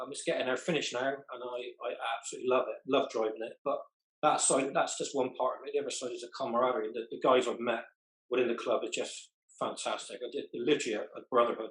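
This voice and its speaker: In a West Country accent, a man speaks at a very fast pace. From southwest England. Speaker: car club member. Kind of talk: group interview.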